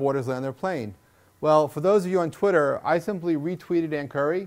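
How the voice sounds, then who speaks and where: Speaking fairly quickly with ordinary pitch variation, a man with a Long Island accent uses a fairly high pitch. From Long Island, New York. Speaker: internet entrepreneur. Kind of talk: speech. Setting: stage with audience. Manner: halting, many repetitions.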